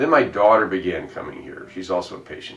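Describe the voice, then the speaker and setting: This man's very rapid talking carries an audible echo from the room. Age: 70s. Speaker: chiropractic patient. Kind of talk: testimonial. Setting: clinic office. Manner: halting.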